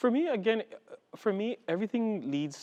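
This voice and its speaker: Recorded with a dry, close sound with no echo and a quiet background, a man in an Antiguan accent speaks at a moderate pace. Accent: Caribbean (Antiguan) English. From Antigua and Barbuda, Caribbean. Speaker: executive director of a Pride organization. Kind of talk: interview.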